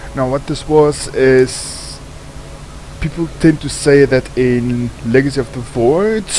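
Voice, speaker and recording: Noticeable background noise sits under a man speaking at a very slow pace. He has a medium pitch and a South African accent. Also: ordinary pitch variation. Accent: non-native, South African, sounds a bit off. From South Africa, Cape Town. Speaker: gaming streamer. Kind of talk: gameplay commentary. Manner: casual, with fillers.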